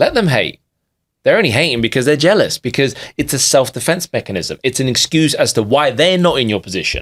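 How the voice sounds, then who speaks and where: At a fairly quick pace, a man with a London accent talks in a fairly high voice with lively intonation, the sound dry and close with no echo. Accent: sounds like a Londoner. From London, England (immigrated as a child). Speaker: digital marketer and business coach. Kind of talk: podcast interview. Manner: emphatic, animated.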